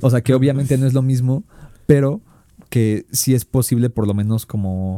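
A man with a Mexican accent and a dark, mellow tone, at a moderate pace with ordinary pitch variation, in a dry, close sound with no echo. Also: medium pitch for a man. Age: 20s. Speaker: communication student, podcast co-host. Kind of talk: casual chat.

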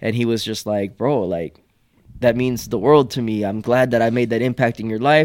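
With an American accent, a man talks at a medium pitch and a fairly quick pace. His intonation is fairly even, and the recording is very clean with a silent background. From Houston, Texas. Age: 20s. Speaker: comedian. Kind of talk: casual chat.

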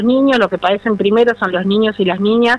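Music plays in the background. A woman speaks over it at a fairly high pitch. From Argentina, Buenos Aires province (San Vicente). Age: 50s. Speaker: ceramics teacher and trainer. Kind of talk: radio interview.

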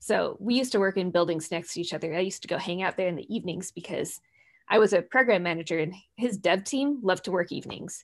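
A woman talks very fast with an American accent and a medium pitch. Her pitch varies in an ordinary way over a quiet background. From US Midwest, Minnesota. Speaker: tech company director. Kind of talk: interview chat. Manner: animated.

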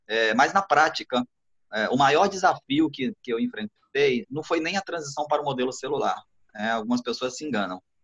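A man with an ordinary speaking voice, fairly high-pitched, at a moderate pace with lively intonation, in a dry, close sound with no echo. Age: 40s. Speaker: pastor. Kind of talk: casual chat.

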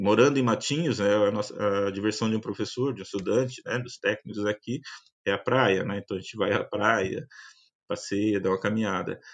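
In a quiet setting, a man talks at a moderate pace, his pitch fairly low and his intonation fairly even. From Paraná, Brazil (Curitiba metropolitan region). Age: 50s. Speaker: university professor and agronomist. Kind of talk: interview testimony. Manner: halting, many fillers.

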